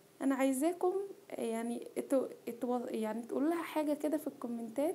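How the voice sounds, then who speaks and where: A woman with an Egyptian accent speaks at a moderate pace in a high pitch, her tone dark and mellow. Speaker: cooking vlogger. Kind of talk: personal testimony vlog. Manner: halting.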